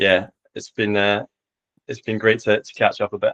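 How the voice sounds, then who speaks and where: A dry, close sound with no echo, from a man speaking at a fairly quick pace. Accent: Edinburgh. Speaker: tennis coach. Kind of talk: interview podcast.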